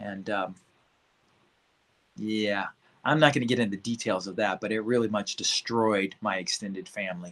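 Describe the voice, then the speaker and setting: A man with a slight Central Californian accent speaks at a fairly low pitch with fairly even intonation. He leaves long, frequent pauses. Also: moderate pace. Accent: slight Bakersfield country twang. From Bakersfield, California. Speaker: life coach. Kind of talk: casual livestream talk.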